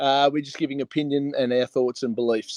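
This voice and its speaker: A man with a strong Australian accent, fairly high in pitch, at a fairly quick pace, in a dry, close sound with no echo. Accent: broad Australian. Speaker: online talk show host. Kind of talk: casual interview chat. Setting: live stream.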